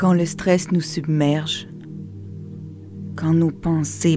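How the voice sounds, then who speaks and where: With music in the background, a woman speaks very slowly in a calm tone with a Quebec accent. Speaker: meditation guide. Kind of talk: guided meditation. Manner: slow, calm.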